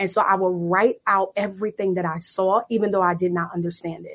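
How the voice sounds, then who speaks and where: At a fairly quick pace, a woman with a medium pitch talks in an ordinary speaking voice. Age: 30s. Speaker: prophetess and life coach. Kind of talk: interview testimony. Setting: live online audio room.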